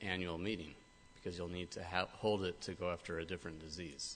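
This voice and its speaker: Bright and sharp in tone yet very deep and low in pitch, a man speaks with an American accent in a monotone, flat intonation. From US Midwest, Michigan. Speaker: cancer researcher. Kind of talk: speech to an audience. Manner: hesitant, many fillers.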